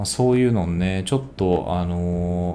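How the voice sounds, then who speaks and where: A man speaks with a Kansai accent. His intonation is lively. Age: 30s. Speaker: podcast co-host. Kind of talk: casual chat. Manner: animated.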